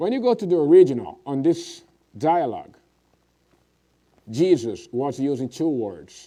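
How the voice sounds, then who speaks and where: A man's dark, mellow voice with a Portuguese accent, lively intonation and a fairly slow pace. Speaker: preacher. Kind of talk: sermon.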